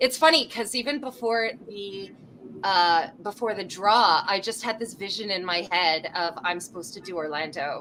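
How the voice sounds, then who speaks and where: Speaking with a Canadian accent, a woman uses a medium pitch and a bright, sharp tone. She talks at a fairly slow pace with lively intonation. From Canada. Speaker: touring fringe theatre performer. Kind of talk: casual interview chat. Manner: animated.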